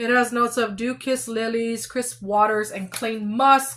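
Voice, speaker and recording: In an ordinary speaking voice, a woman talks with fairly even intonation at a fairly high pitch. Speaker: beauty product reviewer. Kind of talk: product review monologue.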